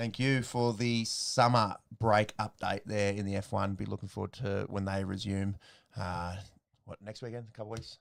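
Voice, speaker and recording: A man's fairly low, monotone voice with an Australian accent, a moderate pace and big swings in loudness, on a very clean recording with a silent background. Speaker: sports podcast host. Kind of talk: casual chat.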